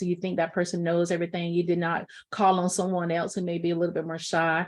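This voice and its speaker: A woman's medium-pitched voice at a very fast pace, over a quiet background. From US South. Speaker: professor. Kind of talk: lecture.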